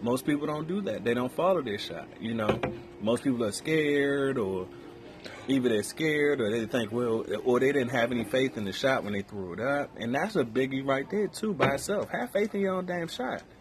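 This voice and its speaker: A man's medium-pitched voice at a fairly quick pace, with very wide pitch swings and music in the background. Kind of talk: casual chat.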